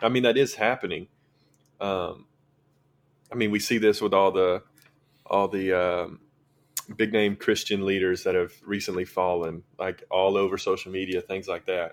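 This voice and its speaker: With a strong Southern US accent, a man with a fairly low voice speaks with fairly even intonation and long, frequent pauses. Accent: thick Southern drawl. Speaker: high school ministry intern. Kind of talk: casual podcast chat about faith.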